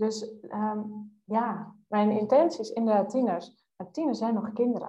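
A woman speaks with a fairly high pitch and a somewhat breathy quality. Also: ordinary pitch variation, fairly slow pace. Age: 20s. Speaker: youth coach. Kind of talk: casual interview.

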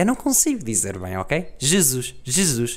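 Fairly unhurried male speech on a very clean recording, the background completely silent. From Portugal, Guarda district village. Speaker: podcaster. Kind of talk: casual monologue.

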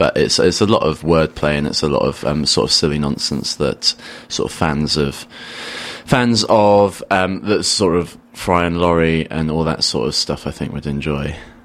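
A man's very deep, low voice at a moderate pace, with ordinary pitch variation and noticeable background noise. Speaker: comedian. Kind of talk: radio interview chat. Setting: radio studio. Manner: wry, self-deprecating, jokey.

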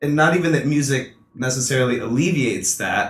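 Amid audible room echo, a man with a fairly high pitch speaks at a moderate pace. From North Carolina (Hampstead, near Wilmington). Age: young. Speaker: musician. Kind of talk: casual chat.

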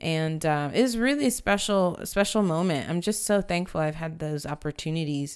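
An unremarkable speaking voice, a woman's, fairly low in pitch, with ordinary pitch variation, a moderate pace and hardly any pauses, on a very clean recording with a silent background. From San Antonio, Texas. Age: 30s. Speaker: church worship leader. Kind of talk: casual interview chat. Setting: studio at a table with host.

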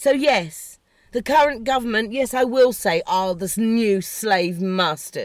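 A woman shouts in an English accent at a fairly slow pace, with a fairly high pitch and very wide pitch swings. The recording is very clean, with a silent background. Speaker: podcast host. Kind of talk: political rant. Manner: shouty; animated.

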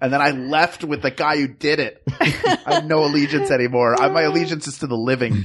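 Against noticeable background noise, a man with fairly high pitch talks quickly and with fairly even intonation, barely pausing. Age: 40s. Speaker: improviser and voice actor. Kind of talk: casual chat.

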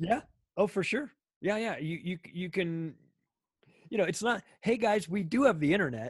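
With an American accent, a high-pitched man speaks at a moderate pace with lively intonation, leaving long, frequent pauses. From Southern California, Palm Springs. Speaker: podcaster. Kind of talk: casual chat. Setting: remote call. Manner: halting, repetitive restarts.

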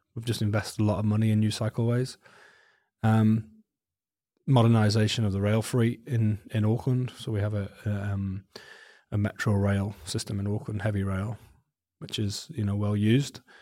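A dark, mellow tone comes through monotone, flat intonation at a moderate pace with long, frequent pauses, on a very clean recording with a silent background. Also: man, fairly low pitch for a man. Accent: Welsh. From Wales. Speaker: transport agency director. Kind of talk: interview.

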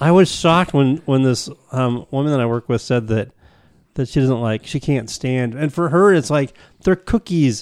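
Using an ordinary speaking voice, a man talks with ordinary pitch variation at a medium pitch. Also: moderate pace. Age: 50s. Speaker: podcast host. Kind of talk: casual chat.

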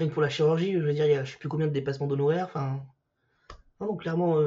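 A man speaks in a fairly high pitch with ordinary pitch variation. His voice is somewhat breathy. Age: 40s. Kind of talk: casual chat. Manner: halting.

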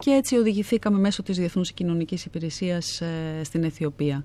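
A woman's dark, mellow tone, fairly low in pitch, at a moderate pace with ordinary pitch variation. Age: 50s. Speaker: actress and theatre director. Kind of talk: interview.

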